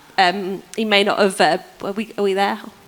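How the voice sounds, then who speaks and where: A woman speaks over noticeable background noise. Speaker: preacher. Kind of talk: sermon. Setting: church service with congregation.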